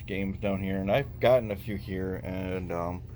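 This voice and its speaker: A man talks at a moderate pace. Some room echo can be heard. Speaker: retro gaming vlogger. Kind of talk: casual vlog walkthrough. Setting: in a used game shop.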